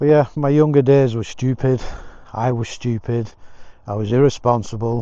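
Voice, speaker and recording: A man speaks with an English accent at a moderate pace. His medium-pitched voice has a dark, mellow tone and fairly even intonation. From England. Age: 60s. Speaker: motorcycle vlogger. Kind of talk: casual vlog monologue. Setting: outdoors walking.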